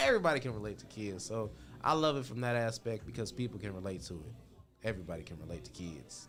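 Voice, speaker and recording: Over background music and audible room echo, a man with an American accent talks at a very fast pace. His fairly low voice has an animated tone and lively intonation. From Indiana (Indianapolis). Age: 20s. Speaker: stand-up comedian. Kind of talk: casual interview. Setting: studio.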